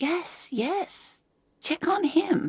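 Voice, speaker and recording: A squeaky, put-on character voice speaks with ordinary pitch variation. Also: woman. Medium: video game.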